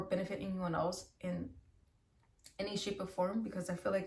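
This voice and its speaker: The delivery is monotone and flat. Noticeable background noise runs behind it. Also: woman. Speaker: tarot reader. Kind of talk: tarot reading monologue. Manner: fast; casual, filler-heavy.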